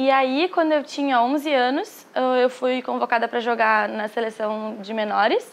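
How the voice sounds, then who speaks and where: A woman talks in a gaúcho accent. Her voice is high, with ordinary pitch variation. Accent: Brazilian gaúcho Portuguese. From southern Brazil, Porto Alegre. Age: 20s. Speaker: professional padel player. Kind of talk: interview.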